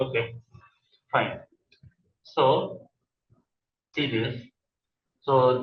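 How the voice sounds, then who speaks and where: A somewhat breathy male voice of medium pitch, with fairly even intonation. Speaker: coding instructor. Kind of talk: tutorial. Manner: halting. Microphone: voice fading in and out, far from mic.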